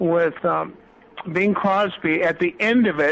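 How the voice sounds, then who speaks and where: A man speaks at a very slow pace with a high pitch. His intonation stays fairly even. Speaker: entertainer and author. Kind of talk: interview. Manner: halting.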